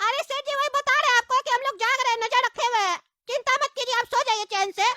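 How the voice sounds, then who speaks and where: In a cartoonish character voice, the speaker goes at a very fast pace with an extremely high pitch. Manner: excitable, repetitive, addresses boss constantly.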